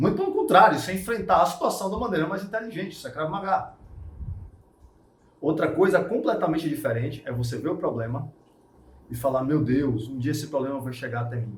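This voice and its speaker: A man with a fairly high voice talks at a fairly quick pace in an animated tone with lively intonation. He takes long, frequent pauses, and there is audible room echo. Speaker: martial arts instructor. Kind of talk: casual talk / interview-style explanation.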